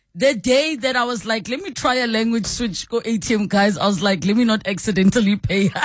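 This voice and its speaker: Fairly high female voice at a fairly quick pace, hardly any pauses, over noticeable background noise. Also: ordinary pitch variation. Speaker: radio talk show host. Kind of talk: call-in radio talk show. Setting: radio studio.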